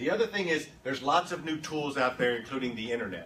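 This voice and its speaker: Fairly quick speech with lively intonation, audible room echo and noticeable background noise. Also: man. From Texas. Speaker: political consultant. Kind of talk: conference talk. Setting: stage with audience. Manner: animated.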